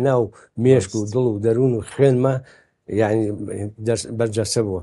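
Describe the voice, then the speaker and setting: With a dark, mellow tone, a man speaks at a moderate pace using fairly even intonation. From Iraqi Kurdistan, Sulaymaniyah; Iraqi Kurdistan. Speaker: baker and photo archive collector; interviewee. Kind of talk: interview. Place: home room. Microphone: lapel.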